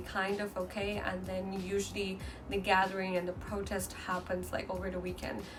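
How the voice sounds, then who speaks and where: With a Chinese accent, a woman speaks at a moderate pace and medium pitch in a monotone, flat intonation, with noticeable background noise and audible room echo. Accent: Mandarin Chinese accent in English. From mainland China. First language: Mandarin. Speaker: vlogger. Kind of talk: casual vlog talk. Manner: halting, with many fillers and restarts.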